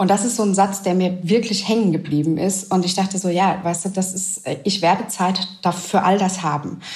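Medium pitch from a woman at a moderate pace, over noticeable background noise. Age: 30s. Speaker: widowed single mother. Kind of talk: interview. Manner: hesitant, with frequent fillers.

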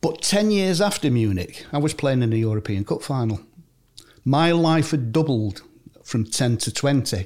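A man's voice with very wide pitch swings and very even loudness, in a very clean recording with a silent background. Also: medium pitch for a man, moderate pace. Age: 70s. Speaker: retired footballer. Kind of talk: interview. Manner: warm storytelling.

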